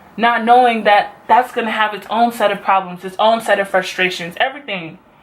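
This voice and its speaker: Noticeable background noise surrounds a woman whose voice is fairly high. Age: 20s. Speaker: beauty vlogger and college student. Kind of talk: casual talk to camera.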